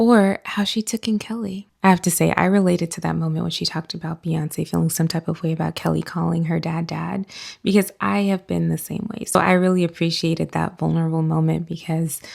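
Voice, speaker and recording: A woman with an American accent at a fairly quick pace, with hardly any pauses. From US South. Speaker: book reviewer. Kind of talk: casual commentary to camera.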